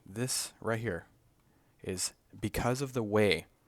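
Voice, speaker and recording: A man speaks softly at a medium pitch. The recording is very clean, with a silent background. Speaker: flight instructor candidate. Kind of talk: tutorial. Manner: soft-spoken; casual. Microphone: mic held close to the mouth.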